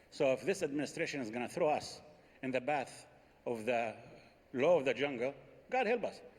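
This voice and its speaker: Speaking at a fairly quick pace, a man uses a fairly high pitch. He leaves long, frequent pauses. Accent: Arabic. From Palestine (Jericho). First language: Arabic. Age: 60s. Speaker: Palestinian politician. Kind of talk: panel debate.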